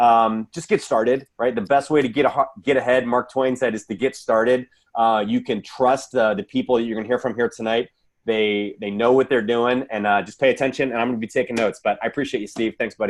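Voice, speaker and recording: Speaking fairly quickly at medium pitch, a man uses an unremarkable speaking voice with fairly even intonation. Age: 40s. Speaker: distributor giving testimony. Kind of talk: testimony.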